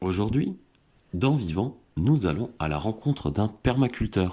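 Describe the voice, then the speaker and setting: On a very clean recording with a silent background, a man speaks fairly slowly in a dark, mellow tone with very wide pitch swings. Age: 30s. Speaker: podcast host, environmentalist. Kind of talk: scripted intro then interview.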